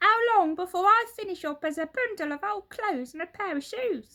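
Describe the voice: This put-on character voice has a bright, sharp tone and lively intonation. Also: woman, extremely high pitch for a woman, moderate pace.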